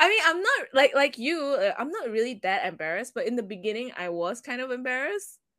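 Her high-pitched voice is raised and projected as this woman talks at a fairly quick pace, animated in tone, with very wide pitch swings. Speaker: podcast host. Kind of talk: casual chat. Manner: animated, joking.

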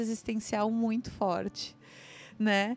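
A plain, everyday voice at a fairly slow pace. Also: woman. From southern Brazil (Santa Catarina, childhood in Rio Grande do Sul). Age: 30s. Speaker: entrepreneur. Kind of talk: interview testimony. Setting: live event recording.

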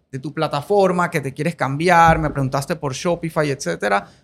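A man speaks in a plain, everyday voice. His pitch is fairly high and his pace moderate. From Colombia. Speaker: podcast host. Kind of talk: interview.

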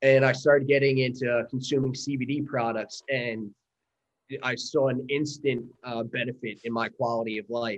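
At a moderate pace, a man with an American accent speaks at a medium pitch in a monotone, flat intonation. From US Northeast, Long Island, New York. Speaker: army veteran and company founder. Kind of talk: interview.

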